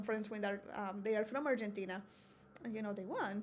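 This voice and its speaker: A woman's fairly high pitch in a Colombian accent, monotone and flat. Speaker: university diversity coordinator. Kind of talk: podcast interview.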